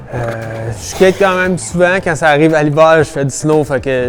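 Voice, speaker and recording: This man talks at a moderate pace. There is noticeable background noise. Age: 20s. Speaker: skateboarder. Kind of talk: interview. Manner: hesitant, many fillers.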